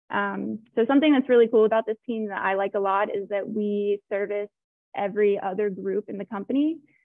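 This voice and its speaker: At a fairly quick pace, a woman with an American accent uses a plain, everyday voice, medium in pitch and fairly even in intonation. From Florida, US. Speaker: technical project manager, engineer. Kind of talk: webinar panel introduction.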